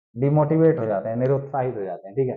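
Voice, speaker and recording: A man talks with lively intonation. There is audible echo from the room. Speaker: current affairs teacher for exam aspirants. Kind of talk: lecture.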